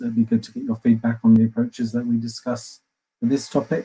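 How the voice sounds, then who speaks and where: In an English accent, a man with a medium-pitched, dark, mellow tone speaks in a monotone, flat intonation. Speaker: customer success manager at a yield software firm. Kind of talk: webinar presentation. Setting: online webinar. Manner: fast.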